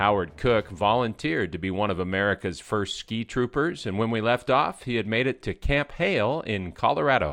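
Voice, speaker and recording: Fairly low male pitch with lively intonation, music in the background. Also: moderate pace. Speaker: radio host. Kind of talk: interview.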